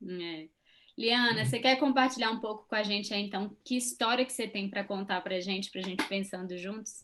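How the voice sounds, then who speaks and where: An unremarkable speaking voice with ordinary pitch variation. The pace is moderate. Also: woman, fairly high pitch for a woman. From Brazil. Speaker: psychologist and channel co-host. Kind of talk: casual chat.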